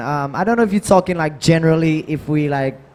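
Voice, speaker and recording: A man with a Saint Lucian accent over crowd noise in the background. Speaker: soca artiste. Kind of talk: panel discussion.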